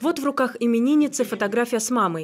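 A woman talks at a very fast pace. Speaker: news reporter. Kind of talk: TV news narration.

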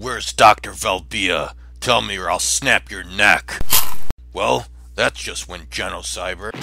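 Using a raspy, put-on character voice, a man speaks at a fairly slow pace in a fairly low pitch.

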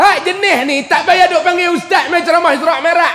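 A man with a Kedah accent uses a raised, projected voice at an extremely high pitch and a moderate pace. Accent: northern Malay (Kedah) dialect. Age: 30s. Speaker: preacher. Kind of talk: religious lecture. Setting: mosque with audience. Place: church. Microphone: headset.

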